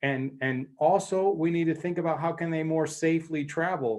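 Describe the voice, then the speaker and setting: Against a quiet background, a man with an American accent uses a normal speaking voice at a moderate pace. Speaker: mobility tech company executive. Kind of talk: panel debate presentation. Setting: online conference.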